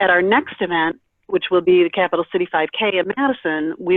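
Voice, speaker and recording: With a plain, everyday voice, a woman talks at a fairly quick pace and a fairly low pitch. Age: 50s. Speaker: kidney transplant recipient and advocate. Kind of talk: presentation on a conference call.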